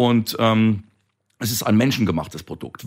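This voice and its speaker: There is a man speaking on a very clean recording with a silent background. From Palatinate, Germany. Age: 50s. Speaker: winemaker. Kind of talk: interview. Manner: talkative, expansive.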